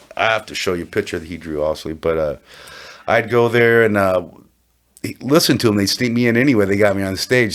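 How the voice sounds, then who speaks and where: In a very clean recording with a silent background, a plain, everyday voice speaks at a fairly quick pace. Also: man. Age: 60s. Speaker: blues guitarist. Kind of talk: casual chat.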